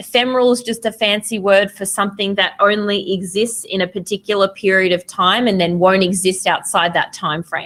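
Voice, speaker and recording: A woman with an Australian accent, medium in pitch, at a fairly quick pace with hardly any pauses and fairly even intonation. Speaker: photography teacher. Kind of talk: lecture. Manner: casual with frequent fillers.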